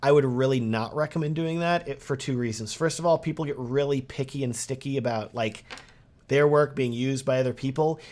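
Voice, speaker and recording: A man with a fairly high pitch talks in an animated tone at a fairly quick pace. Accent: slight Texan. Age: 30s. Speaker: wedding videographer and course creator. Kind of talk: sales pitch; live stream Q&A. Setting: live stream with chat.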